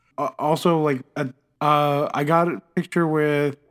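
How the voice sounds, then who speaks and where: Recorded dry and close with no echo, a man with an unremarkable speaking voice speaks at a fairly high pitch. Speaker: guest fan. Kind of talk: casual chat.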